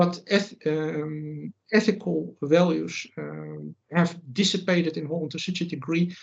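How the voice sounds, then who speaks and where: A man's fairly high-pitched voice with a Dutch accent. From Netherlands. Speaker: writer and commentator. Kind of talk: interview. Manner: halting, many fillers.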